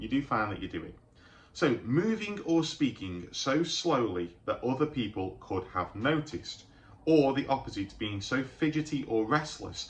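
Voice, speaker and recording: Somewhat breathy speech comes through. It belongs to a man. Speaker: mental health youtuber. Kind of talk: vlog monologue. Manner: halting, repeats words.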